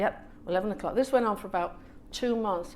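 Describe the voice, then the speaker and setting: A woman talks at a very fast pace in a Manchester accent. Music plays in the background. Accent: northern English (Manchester). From England, Manchester area, Irish family. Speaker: author and storyteller. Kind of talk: casual storytelling at author event. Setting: hotel salon talk with audience. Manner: animated, acts out family voices.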